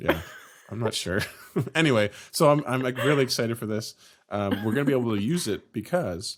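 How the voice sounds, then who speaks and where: The speech moves at a fairly quick pace with lively intonation. Long, frequent pauses break it up. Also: man. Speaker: podcast host. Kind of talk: casual chat.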